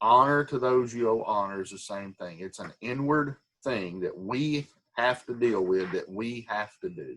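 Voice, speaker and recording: A man talks in an unremarkable speaking voice at a medium pitch with ordinary pitch variation. His pace is moderate, and his loudness swings a lot. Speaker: Sunday school teacher. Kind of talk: Bible study lesson.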